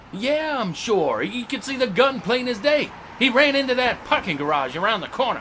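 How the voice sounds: In a put-on character voice, a man speaks at an extremely high pitch with big pitch swings. His tone is bright and sharp, and his pace is moderate.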